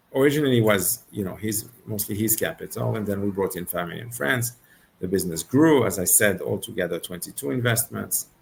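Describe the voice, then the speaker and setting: Speaking at a fairly quick pace with vocal fry, a man uses lively intonation in a French accent. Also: fairly low pitch for a man. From Switzerland, Geneva. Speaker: venture capital investor. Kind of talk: interview.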